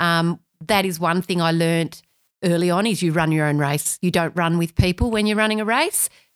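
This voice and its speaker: A woman's medium-pitched voice with ordinary pitch variation, in a very clean recording with a silent background. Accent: Australian. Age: 50s. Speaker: amateur runner. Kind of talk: casual chat.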